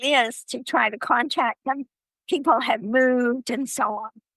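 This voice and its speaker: A woman uses a raised, projected voice with a high pitch and a bright, sharp tone, speaking very slowly with ordinary pitch variation. The sound is dry and close, with no echo. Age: 80s+. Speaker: traveler and author. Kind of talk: interview.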